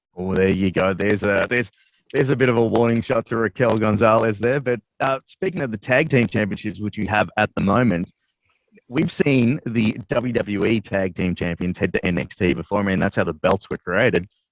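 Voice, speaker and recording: A man speaks at a fairly quick pace with an Australian accent. His pitch is fairly low with ordinary variation, and the sound is dry and close with no echo. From Australia, Melbourne. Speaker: sports radio interviewer. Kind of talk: interview. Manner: casual, animated.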